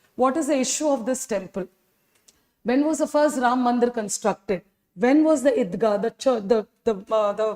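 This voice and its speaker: A woman's high, animated voice in a Tamil accent, with ordinary pitch variation and a dry, close sound with no echo. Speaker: history teacher. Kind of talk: lecture. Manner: animated, rhetorical questions.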